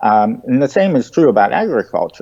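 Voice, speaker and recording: Speaking in an American accent, a man swings his pitch very widely. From United States. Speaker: presidential candidate. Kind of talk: interview. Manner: halting, many fillers.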